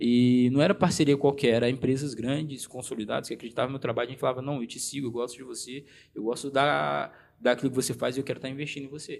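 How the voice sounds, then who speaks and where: On a very clean recording with a silent background, a man of medium pitch talks at a very fast pace. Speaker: social media influencer. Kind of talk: interview. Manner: halting, many restarts.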